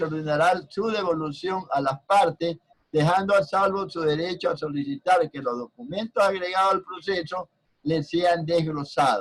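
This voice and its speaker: A man speaks at a moderate pace with a high pitch and ordinary pitch variation. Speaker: university law professor. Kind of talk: lecture. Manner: loud.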